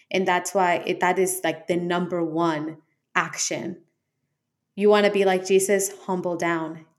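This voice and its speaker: A woman talks at a moderate pace with a fairly low pitch. Her intonation is monotone and flat. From Colombia. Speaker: podcast co-host. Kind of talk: faith conversation.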